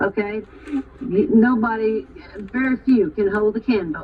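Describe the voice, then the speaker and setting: This woman's voice sits fairly high, with ordinary pitch variation. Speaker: teacher. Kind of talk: parent-teacher conference. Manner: loud.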